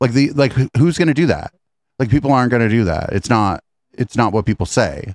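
A man at a medium pitch talks at a fairly quick pace with lively intonation and vocal fry. His loudness stays very even in a dry, close sound with no echo. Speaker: comedy podcast host. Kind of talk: casual chat. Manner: joking.

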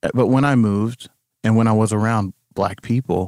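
A man's fairly low-pitched voice, a normal speaking voice with ordinary pitch variation, dry and close with no echo. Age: 30s. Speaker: musician. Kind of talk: casual chat. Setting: remote call from a closet at home.

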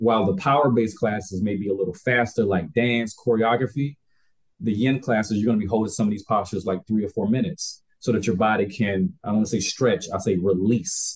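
A man with an American accent, fairly low in pitch and somewhat breathy, at a fairly quick pace with ordinary pitch variation and very even loudness. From US South, Albany, Georgia. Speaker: wellness coach and yoga instructor. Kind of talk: casual interview chat.

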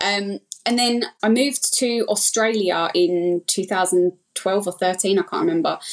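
A woman with an Essex accent, medium pitch, ordinary pitch variation and a fairly slow pace. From Essex, England. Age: 30s. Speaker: breast implant illness survivor. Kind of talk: casual interview, personal story.

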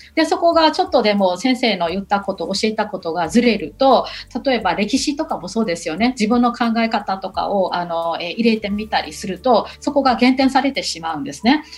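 A woman's fairly high voice with very wide pitch swings and hardly any pauses, over music in the background. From Myanmar, Yangon. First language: Burmese (speaking Japanese). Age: 40s. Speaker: university lecturer. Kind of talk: radio interview. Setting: remote call. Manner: hesitant with fillers.

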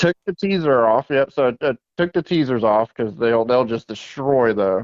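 A man with an American accent talks at a moderate pace in a plain, everyday voice, his pitch medium. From South Florida (West Palm Beach). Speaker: fishing rod and rig maker. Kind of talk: casual interview.

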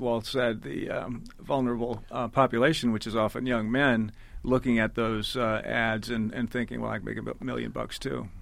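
A man speaks at a medium pitch in a monotone, with flat intonation. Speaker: investigative journalist. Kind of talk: radio interview.

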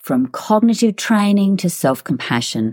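A woman's medium-pitched voice with an Australian accent, dark and mellow in tone, swinging very widely in pitch at a moderate pace, dry and close with no echo. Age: 60s. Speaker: podcast host, fitness trainer and psychologist. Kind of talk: personal storytelling monologue.

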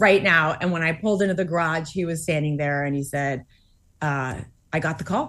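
Fairly quick speech in an American accent over a quiet background. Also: woman. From Massachusetts. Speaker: author and astronaut's wife. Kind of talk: interview.

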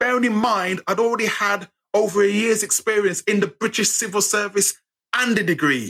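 A man speaks with an English accent in a high pitch, with an animated tone. The sound is bright and sharp, dry and close with no echo. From England, Birmingham. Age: 50s. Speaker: writer and storyteller. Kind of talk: casual chat.

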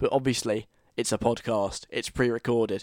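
Dry, close sound with no echo from a man with fairly even intonation. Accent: southern English. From London. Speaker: radio host. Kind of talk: radio show monologue. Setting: studio. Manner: casual chatty.

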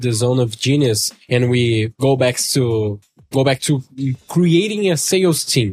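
A man speaks at a fairly slow pace with a Portuguese accent. His pitch sits in the medium range. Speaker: podcast host. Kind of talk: interview. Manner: halting.

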